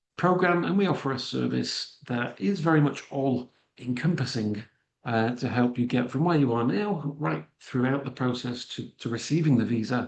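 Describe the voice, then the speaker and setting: With a slight Manchester accent, a man speaks at medium pitch and a moderate pace, his pitch varying in an ordinary way. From northern England, Manchester. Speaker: immigration consultant and financial planner. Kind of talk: webinar presentation. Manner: hesitant, many fillers.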